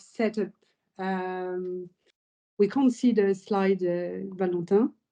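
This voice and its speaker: With a French accent, a woman speaks at medium pitch and a very slow pace. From France. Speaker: company founder. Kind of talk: webinar testimony.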